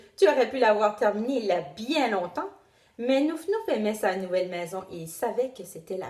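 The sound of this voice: The intonation is lively. The reading voice is unforced.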